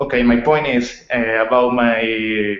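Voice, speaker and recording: A man is speaking. He has a Spanish accent. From Colombia. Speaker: online course student. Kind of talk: presenting research proposal in online class. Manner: hesitant, many fillers.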